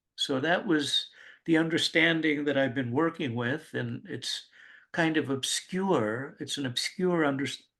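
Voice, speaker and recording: Against a quiet background, a man speaks at a fairly slow pace with a fairly high pitch, a bright, sharp tone and ordinary pitch variation. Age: 70s. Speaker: psychotherapist. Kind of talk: interview.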